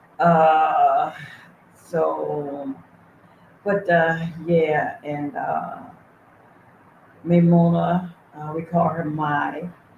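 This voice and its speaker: Speaking at a very slow pace with long, frequent pauses, a woman with an American accent is heard over noticeable background noise. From USA. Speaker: livestream host and charity founder. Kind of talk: casual livestream chat. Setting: livestream, reading chat.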